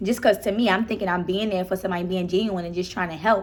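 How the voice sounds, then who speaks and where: An animated woman in a Baltimore accent. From Baltimore, Maryland. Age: 20s. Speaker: YouTuber. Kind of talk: casual chat.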